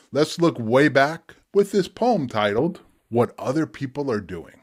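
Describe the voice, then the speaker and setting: This very clean recording with a silent background captures a man whose pitch swings very widely. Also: fairly high pitch for a man, fairly slow pace. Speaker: spoken word poet. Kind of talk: casual talk to camera.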